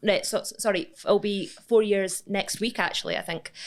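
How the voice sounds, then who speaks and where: This is a woman speaking at a medium pitch. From Scotland. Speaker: business owner, money-saving expert. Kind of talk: interview answer.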